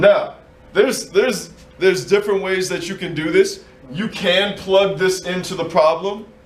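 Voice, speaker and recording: Noticeable background noise and audible room echo surround a man with a high-pitched voice. He keeps a moderate pace and fairly even intonation, with big swings in loudness. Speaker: math teacher. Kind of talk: classroom lesson. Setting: classroom with students.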